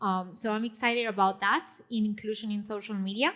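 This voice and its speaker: The woman's tone is bright and sharp, at a medium pitch. Her intonation stays fairly even. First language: not English. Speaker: panelist, technologist and writer. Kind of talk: panel discussion. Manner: hesitant, many fillers.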